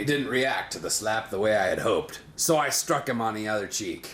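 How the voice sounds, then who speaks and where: A raspy, put-on character voice delivers lines in a deadpan tone at a fairly quick pace over clear background noise. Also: man, medium pitch for a man. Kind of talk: improvised comic narration. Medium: short film. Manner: deadpan, crude.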